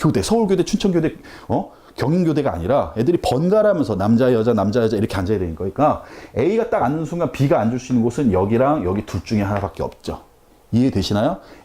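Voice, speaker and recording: Speaking at a very fast pace, a man lets his pitch swing very widely. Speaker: math tutor. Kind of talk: lecture.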